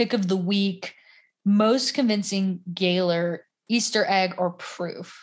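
Somewhat breathy woman's voice at a medium pitch, with an American accent, over a quiet background. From US South. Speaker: podcaster. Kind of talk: casual chat.

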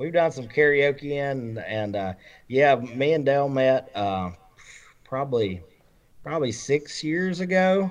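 A man with an Alabama accent speaks at a fairly slow pace, his fairly high voice carrying lively intonation. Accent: Southern US (Alabama). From Alabama, Roanoke area. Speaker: country music singer-songwriter. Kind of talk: casual interview chat. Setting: remote call via Skype. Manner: halting, many fillers.

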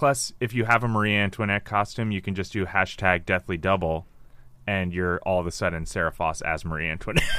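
On a very clean recording with a silent background, a man with a very deep, low pitch and a bright, sharp tone talks at a fairly quick pace. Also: ordinary pitch variation. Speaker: former quiz show champion. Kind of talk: casual chat. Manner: animated.

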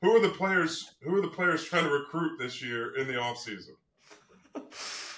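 A man with an ordinary speaking voice talks at a fairly slow pace with hardly any pauses. His fairly high pitch carries lively intonation. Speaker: podcast co-host. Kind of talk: casual sports podcast.

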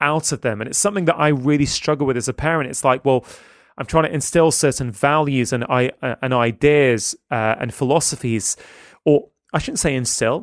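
A man with a normal speaking voice and fairly high pitch talks at a moderate pace with ordinary pitch variation, in a dry, close sound with no echo on a very clean recording with a silent background. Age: 40s. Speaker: physician and podcaster. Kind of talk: casual interview conversation.

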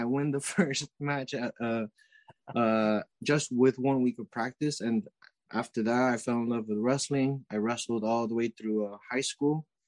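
With a normal speaking voice, a man talks at a moderate pace and medium pitch, with ordinary pitch variation, in a dry, close sound with no echo. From Ecuador, then Miami, Florida. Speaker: weightlifting coach and athlete. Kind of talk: casual interview chat.

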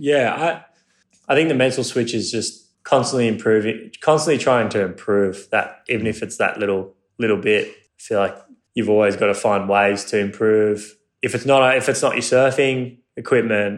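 On a very clean recording with a silent background, a man with an Australian accent speaks at medium pitch with ordinary pitch variation. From Australia, Cronulla (south of Sydney). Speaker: professional surfer. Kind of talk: casual interview chat. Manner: halting, many repeated words.

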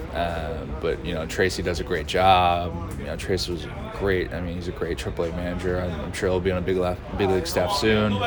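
Amid noticeable background noise and audible room echo, a man with a very deep, low pitch talks at a fairly quick pace with fairly even intonation. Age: 30s. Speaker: professional baseball player. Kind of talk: interview. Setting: stadium dugout.

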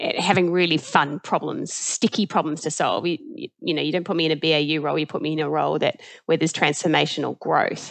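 A woman speaks with a New Zealand accent. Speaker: tech company CEO. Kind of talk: interview. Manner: casual.

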